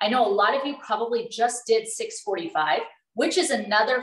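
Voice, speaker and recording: The voice moves at a moderate pace with audible room echo and a quiet background. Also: woman. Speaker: fitness trainer. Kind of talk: casual Q&A talk. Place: kitchen. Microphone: video call.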